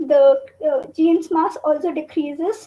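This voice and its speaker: Extremely high-pitched female speech, very slow, with ordinary pitch variation. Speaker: student presenter. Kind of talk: lecture. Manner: halting, many fillers.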